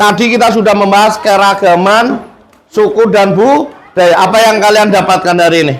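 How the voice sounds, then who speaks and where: Speaking in a strong Central Javanese accent, a man with a high pitch and animated tone uses ordinary pitch variation, with audible room echo and noticeable background noise. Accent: strong Tegal Javanese (ngapak, medok). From Indonesia, Tegal (Central Java). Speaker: teacher. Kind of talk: classroom lesson. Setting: classroom.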